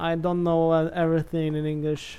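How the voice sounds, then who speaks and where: A dark, mellow tone in a monotone, flat intonation at a fairly slow pace. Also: man. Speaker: gaming youtuber. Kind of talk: gameplay commentary. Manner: halting; hesitant, many fillers.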